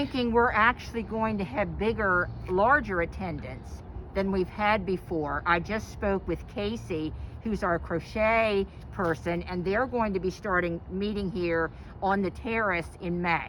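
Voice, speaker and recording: A woman with an American accent, medium pitch, ordinary pitch variation, vocal fry and a fairly slow pace. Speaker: librarian. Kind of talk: casual interview.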